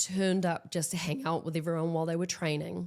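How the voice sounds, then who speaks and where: A woman's very deep, low voice in a New Zealand accent, fairly quick and monotone, with flat intonation. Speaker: actress and stunt performer. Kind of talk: interview, casual chat. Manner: loud.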